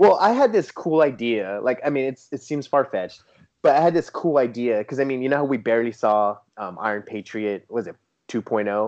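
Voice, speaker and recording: Speaking at a fairly quick pace, a man with a medium pitch has a West Coast US accent. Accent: General American (West Coast). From San Diego, California. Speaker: toy photographer. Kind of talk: casual interview chat. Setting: remote call.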